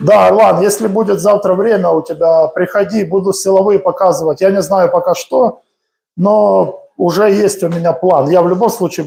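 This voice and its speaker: With very even loudness, a man speaks at a moderate pace in a high pitch with a dark, mellow tone. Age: 40s. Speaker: boxing coach. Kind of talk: live-streamed training tutorial. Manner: casual, conversational.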